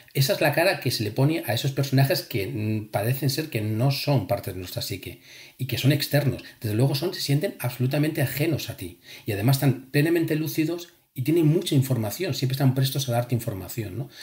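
Somewhat breathy and fairly quick, a man talks with lively intonation. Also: medium pitch for a man. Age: 40s. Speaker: engineer and lucid dreaming author and instructor. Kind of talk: casual chat.

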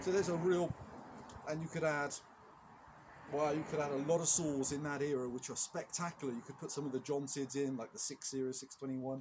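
Over noticeable background noise, a man talks at a fairly quick pace in a somewhat breathy voice with fairly even intonation. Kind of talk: tutorial. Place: open country. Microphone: camera far.

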